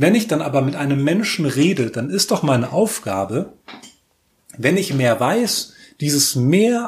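Somewhat breathy and fairly high-pitched, a man speaks at a fairly slow pace with very wide pitch swings. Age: 30s. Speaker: podcast host. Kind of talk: solo commentary monologue. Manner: halting with many fillers.

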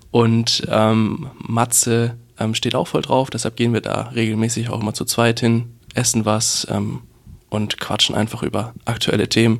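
The pace is fairly slow as a man talks. His medium pitch stays monotone and flat. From rural Bavaria. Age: 20s. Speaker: web portal founder and student. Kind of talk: reading event tips; casual interview. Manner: hesitant, repeats words.

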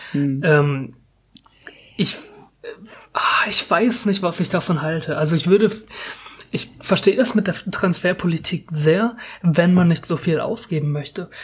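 A man with a high voice, fairly slow delivery, and long, frequent pauses. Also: ordinary pitch variation. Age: 20s. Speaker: football podcast host, student. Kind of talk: casual chat.

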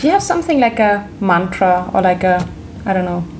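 A woman with a German accent at medium pitch, moderate pace and ordinary pitch variation, amid noticeable background noise. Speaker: podcast host, cookbook author. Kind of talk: interview.

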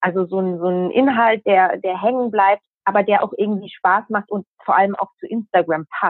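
A woman's normal speaking voice at medium pitch, moderate pace and ordinary pitch variation. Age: 20s. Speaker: journalist. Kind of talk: interview.

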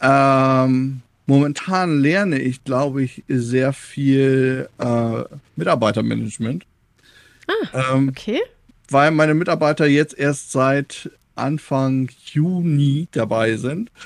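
Speaking very slowly, a man uses a fairly high pitch. His pitch varies in an ordinary way. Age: 30s. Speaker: game developer and media education worker. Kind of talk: casual interview.

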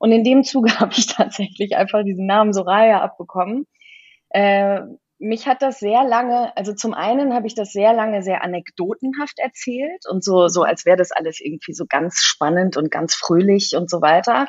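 With lively intonation, a woman speaks at a moderate pace and a medium pitch. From Kenya. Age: 40s. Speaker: design agency owner. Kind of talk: interview. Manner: hesitant, many fillers.

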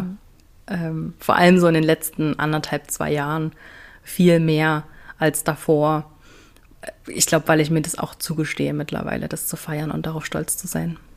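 This woman's pitch is very deep and low. She talks at a moderate pace with flat, monotone intonation. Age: 30s. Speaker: business coach. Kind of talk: casual chat.

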